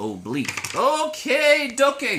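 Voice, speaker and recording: The speaker's tone is animated. Background noise is noticeable. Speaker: math teacher. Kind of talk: video lesson. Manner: loud.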